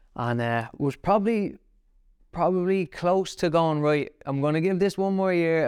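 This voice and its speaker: The background is quiet as a man speaks with an Irish accent. His pitch varies in an ordinary way. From Ireland, County Kildare (Naas). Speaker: professional boxer. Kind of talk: casual interview.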